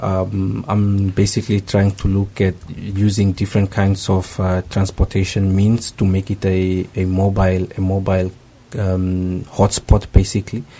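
A man's very deep, low voice, dark and mellow in tone and somewhat breathy, at a very slow pace with monotone, flat intonation. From Namibia. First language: not Japanese (speaking Japanese). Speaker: graduate student, former network engineer. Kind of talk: radio interview. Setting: radio studio. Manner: halting.

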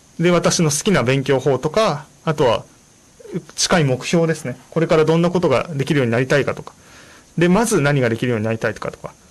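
A man's voice, fairly high in pitch, comes through over noticeable background noise. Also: ordinary pitch variation, fairly quick pace. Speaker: radio host and Japanese-language support volunteer. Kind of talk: bilingual informational radio talk. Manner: many fillers, hesitant.

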